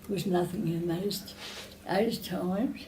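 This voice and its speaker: A woman with an Australian accent, medium-pitched and somewhat breathy, with fairly even intonation at a very slow pace. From Australia, New South Wales. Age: 80s+. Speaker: retirement village resident. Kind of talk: interview answer.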